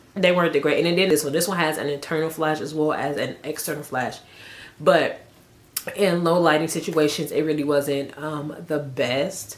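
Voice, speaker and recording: A woman speaks with a very deep, low pitch and fairly even intonation. Room echo is audible. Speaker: vlogger and hair stylist. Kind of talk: casual chat to camera. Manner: fast; casual, filler-heavy.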